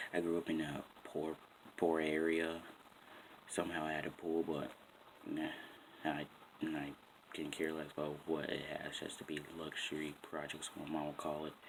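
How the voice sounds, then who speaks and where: Quiet and very deep, a man speaks with an American accent at a moderate pace. His intonation stays monotone and flat, broken by long, frequent pauses. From Boston, Massachusetts. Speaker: vlogger. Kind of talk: casual vlog talk. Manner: quiet, keeping voice down.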